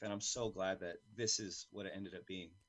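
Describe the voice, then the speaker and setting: The speaker is a man. He has an American accent. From California. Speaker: jiu-jitsu coach and competitor. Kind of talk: interview. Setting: video call. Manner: loud.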